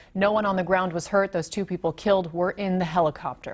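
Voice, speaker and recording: A woman speaks in a somewhat breathy voice. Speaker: TV news reporter and anchor. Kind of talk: news anchor read. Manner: dynamic, conversational.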